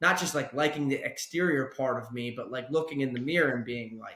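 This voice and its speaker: A man speaks at a fairly quick pace. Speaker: podcast host. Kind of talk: casual podcast conversation.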